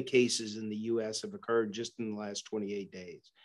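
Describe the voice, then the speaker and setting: Against a quiet background, a man talks at a fairly slow pace. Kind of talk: interview answer. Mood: serious, concerned. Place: office. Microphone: video call.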